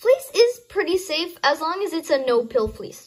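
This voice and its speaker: With a non-native accent, a woman speaks at an extremely high pitch with very wide pitch swings and a moderate pace. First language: not English. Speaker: pet care YouTuber. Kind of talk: informational review. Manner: occasional stumbles over words.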